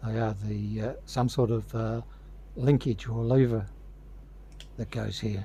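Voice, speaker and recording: A man speaks with an Australian accent at a medium pitch, his tone dark and mellow. His voice is somewhat breathy, with fairly even intonation. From Australia, Victoria (Torquay near Geelong). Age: 70s. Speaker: hobbyist model builder. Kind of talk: tutorial.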